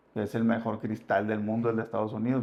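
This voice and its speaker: A man is speaking. He has a northern Mexican accent. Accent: northern Mexican Spanish (Sonora). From Sonora, northwest Mexico. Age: 30s. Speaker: former gang member in recovery. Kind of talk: interview testimony. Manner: casual, slangy.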